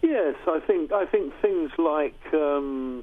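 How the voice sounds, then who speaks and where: In a southern English accent, a man with a fairly high pitch speaks at a very slow pace with ordinary pitch variation. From England, Uxbridge, Middlesex. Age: 60s. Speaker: session guitarist. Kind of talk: interview. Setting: radio studio.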